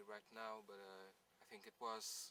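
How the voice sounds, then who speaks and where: Quiet and bright, with a sharp tone, the voice moves at a fairly slow pace. The sound is dry with no echo, over light background noise. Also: man. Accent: non-native. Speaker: airsoft gun reviewer. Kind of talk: product review talk to camera. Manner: quiet, hesitant with fillers. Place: open country.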